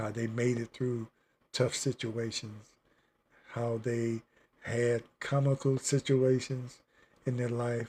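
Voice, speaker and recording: At a very slow pace with long, frequent pauses, a man speaks in a somewhat breathy, monotone, flat voice at medium pitch. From Virginia. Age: 70s. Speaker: livestreamer. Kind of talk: casual chat. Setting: home studio livestream. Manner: halting.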